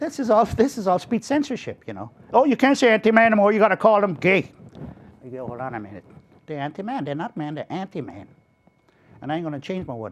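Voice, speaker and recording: A man talks very fast in a high pitch, his pitch swinging very widely. Long pauses come often. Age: 60s. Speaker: political movement leader. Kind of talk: interview. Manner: animated.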